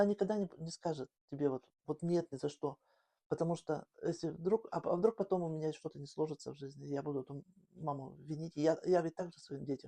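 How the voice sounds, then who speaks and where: A woman with a very deep, low pitch and a dark, mellow tone talks fairly quickly, her pitch moving in an ordinary way, and the sound is dry and close with no echo. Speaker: grandmother. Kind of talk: interview answer.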